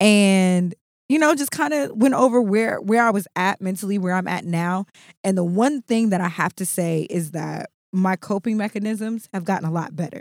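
Lively intonation moves along at a moderate pace. The recording is very clean with a silent background, and the sound is dry and close with no echo. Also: woman, medium pitch for a woman. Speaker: podcast co-host. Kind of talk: casual chat. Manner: boisterous.

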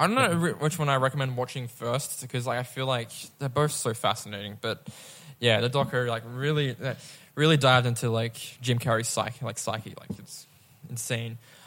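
Fairly even intonation and a fairly quick pace mark an unremarkable speaking voice. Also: man, medium pitch for a man. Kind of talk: casual chat. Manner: casual, filler-heavy.

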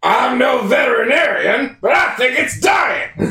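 A man's put-on, raspy character voice in a Texan accent, raised and projected, extremely high in pitch, at a fairly slow pace, with slight echo. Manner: dim-witted, comedic.

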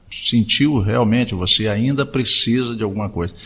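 Fairly slow and with lively intonation, a man talks with vocal fry. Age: 60s. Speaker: radio host. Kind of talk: casual chat.

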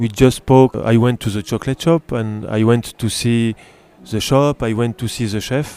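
A man at a medium pitch speaks in a French accent while music plays in the background. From France. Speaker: pastry chef. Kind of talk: interview. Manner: halting.

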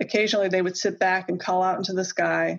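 This is a natural reading voice. Nothing more stands out.

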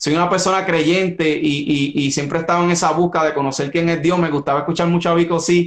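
A man with a high pitch, fairly even intonation and a fairly quick pace. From Puerto Rico (Caguas). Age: 30s. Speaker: actor and musician. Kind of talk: interview. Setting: Instagram Live stream.

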